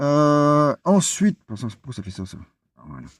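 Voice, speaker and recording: Speaking at a fairly slow pace, a man with a fairly high pitch comes through a very clean recording with a silent background and a dry, close sound with no echo. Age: 60s. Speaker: vlogger, cycling adventurer. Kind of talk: vlog presentation. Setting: outdoors in a forest. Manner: halting, many hesitations.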